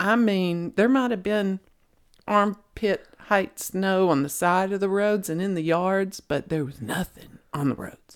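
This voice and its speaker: In a Southern US accent, a woman speaks at a fairly slow pace, using a medium pitch with ordinary pitch variation. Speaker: podcast co-host. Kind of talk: casual chat.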